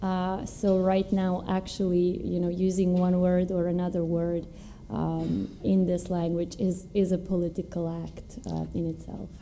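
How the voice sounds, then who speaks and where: With a Serbo-Croatian accent, a woman speaks fairly slowly in a fairly low pitch, her dark, mellow tone flat and monotone amid audible room echo. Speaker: novelist. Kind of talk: panel discussion at a literary event. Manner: hesitant, many fillers.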